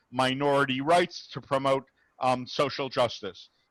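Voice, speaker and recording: A man speaks at a fairly slow pace in an ordinary speaking voice with fairly high pitch. The sound is dry and close with no echo, and the background is quiet. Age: 60s. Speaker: rabbi, interfaith dialogue speaker. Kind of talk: Q&A after a talk. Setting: video call.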